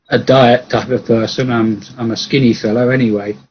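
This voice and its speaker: A man with an English accent speaks in a monotone, flat intonation at a fairly slow pace and medium pitch. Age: 70s. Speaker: engineer and mathematician. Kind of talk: casual chat. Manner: halting.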